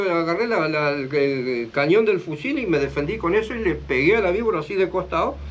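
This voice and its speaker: A man's high voice at a fairly quick pace, with very wide pitch swings and noticeable background noise. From Chaco, northern Argentina. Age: 60s. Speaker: interviewee telling his life story. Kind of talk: life story interview. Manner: hesitant, with filler sounds.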